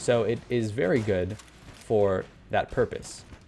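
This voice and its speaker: A man speaks over music in the background. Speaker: gaming YouTuber. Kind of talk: gameplay commentary. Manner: stutter; halting.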